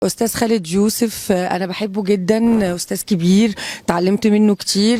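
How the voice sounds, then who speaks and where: A woman with an Egyptian accent, medium pitch and monotone, flat intonation, at a moderate pace, against noticeable background noise. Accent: speaks Egyptian Arabic well. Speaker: actress. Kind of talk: interview. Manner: hesitant, many fillers.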